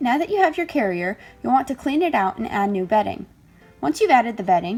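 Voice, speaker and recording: With music in the background, a woman talks very fast at a fairly high pitch, her voice making very wide pitch swings. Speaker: pet rat keeper. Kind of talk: instructional voiceover.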